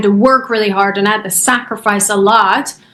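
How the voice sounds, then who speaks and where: A woman with a Persian accent, her pitch fairly high, at a moderate pace, in a flat monotone. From Iran. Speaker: chiropractor and business coach. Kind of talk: podcast interview.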